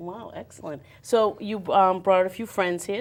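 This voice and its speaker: A woman with a central Massachusetts accent and fairly even intonation. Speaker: community TV interviewer. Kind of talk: interview.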